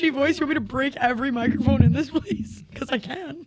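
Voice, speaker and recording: Someone shouts loudly at a fairly quick pace over noticeable background noise. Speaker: podcast guest. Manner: loud, yells a lot.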